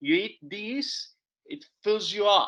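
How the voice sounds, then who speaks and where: A man speaks with an Italian accent in a bright, sharp tone. His pace is very slow. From Italy. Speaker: forager and educator. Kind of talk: public talk. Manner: animated; halting.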